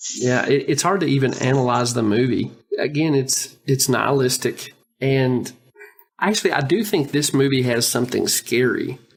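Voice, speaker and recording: A man with a medium pitch and a somewhat breathy voice speaks at a very even loudness. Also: ordinary pitch variation, moderate pace. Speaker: podcast co-host. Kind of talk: casual podcast discussion.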